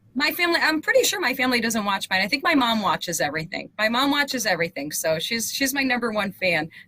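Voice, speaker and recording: Over noticeable background noise, a woman talks at a very fast pace and a high pitch, with very wide pitch swings and very even loudness. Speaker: talk show host. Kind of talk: interview.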